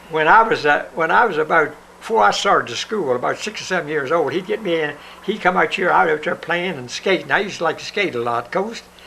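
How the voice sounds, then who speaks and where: A man with an Appalachian accent, high in pitch with ordinary pitch variation, at a very fast pace, over noticeable background noise. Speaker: son of a Confederate veteran. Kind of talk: interview answer, reminiscing.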